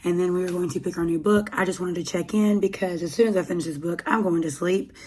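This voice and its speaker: A woman with an American accent speaks at a very fast pace and fairly low pitch. Her intonation is fairly even, and noticeable background noise is present. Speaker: book vlogger. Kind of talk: casual vlog.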